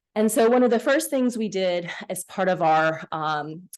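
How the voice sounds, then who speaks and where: A woman speaks at a moderate pace with lively intonation in an ordinary speaking voice, against a quiet background. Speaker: physician researcher. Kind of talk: lecture. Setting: seminar room with live audience and Zoom.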